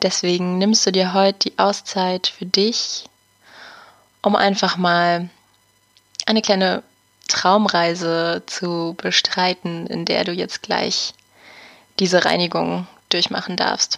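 A woman at medium pitch speaks in a gentle tone and a monotone, flat intonation, at a very slow pace with long, frequent pauses. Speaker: podcast host and meditation guide. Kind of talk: guided meditation. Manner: gentle, soft-spoken, with long pauses.

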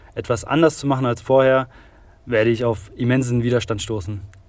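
With a plain, everyday voice, a man of medium pitch speaks at a fairly quick pace with fairly even intonation on a very clean recording with a silent background. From Saarland, Germany. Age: 20s. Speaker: construction digitalization expert. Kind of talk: interview.

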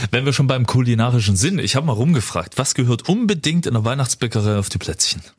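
Very fast, lively speech from a man at medium pitch, with hardly any pauses and very even loudness. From Erzgebirge, Saxony, eastern Germany. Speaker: radio host. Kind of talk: radio show chat. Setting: studio.

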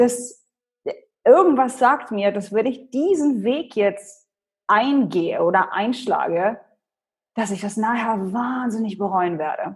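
Speaking very slowly with long, frequent pauses, a woman with a Polish accent uses lively intonation in a fairly high, somewhat breathy voice. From Germany, Hannover. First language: Polish (speaking German). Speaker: personal branding expert and speaker. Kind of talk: interview.

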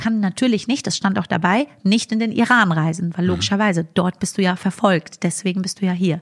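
A woman speaks at a moderate pace in a medium pitch, somewhat breathy, with ordinary pitch variation. The sound is dry and close, with no echo. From Germany, Frankfurt area. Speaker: comedian. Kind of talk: podcast interview.

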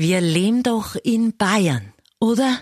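A woman with a Bavarian accent and very wide pitch swings, in a dry, close sound with no echo against a quiet background. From Upper Palatinate, eastern Bavaria. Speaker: radio host. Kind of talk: comedic monologue.

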